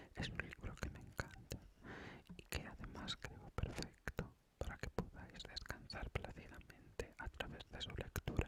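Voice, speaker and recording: Someone whispers at a fairly slow pace. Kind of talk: whispered intro talk to viewers. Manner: whispered.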